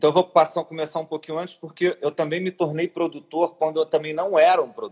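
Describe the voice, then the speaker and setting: A man speaks at a fairly quick pace with hardly any pauses, his fairly high pitch held in a monotone, flat intonation, and the sound is dry and close with no echo. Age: 40s. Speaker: cultural manager and curator. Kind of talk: interview.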